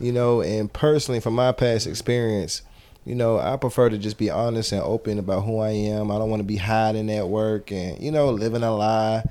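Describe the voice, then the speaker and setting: Dark, mellow tone at a fairly quick pace, with fairly even intonation. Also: man, fairly low pitch for a man. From US South, Atlanta. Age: 30s. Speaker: dancer and cheerleader. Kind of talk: casual chat.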